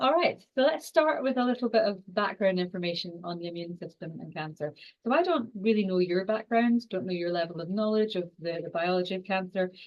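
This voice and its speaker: A woman with a strong Scottish accent, medium pitch, lively intonation, big swings in loudness and a fairly quick pace. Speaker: exercise and cancer researcher. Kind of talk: online lecture. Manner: fast.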